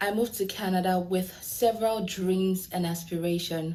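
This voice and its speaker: With an African accent, a woman talks at a moderate pace in a medium pitch. Her tone is dark and mellow, with ordinary pitch variation. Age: 20s. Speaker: lawyer. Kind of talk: prepared speech in a video.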